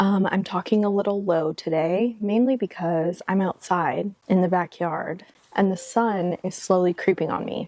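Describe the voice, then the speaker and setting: Soft-spoken and fairly slow, a woman talks in a dark, mellow tone, recorded with a dry, close sound and no echo. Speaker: lifestyle vlogger. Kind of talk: casual chat. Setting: outdoors.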